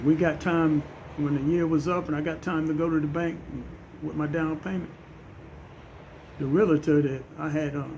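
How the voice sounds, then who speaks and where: This man's voice sits fairly high and stays monotone and flat at a moderate pace. Long, frequent pauses break up his speech, and room echo is audible. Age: 60s. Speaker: social media commentator. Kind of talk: personal monologue.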